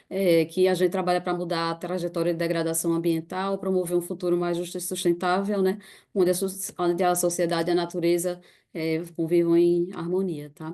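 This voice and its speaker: Against a quiet background, a woman with a Recife accent talks at a fairly quick pace in a fairly low pitch, her dark, mellow tone held in a monotone, flat intonation. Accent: northeastern Brazilian (Recife), noticeable. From Brazil, Recife (Pernambuco). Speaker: NGO staff member presenting a case. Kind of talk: online presentation with slides.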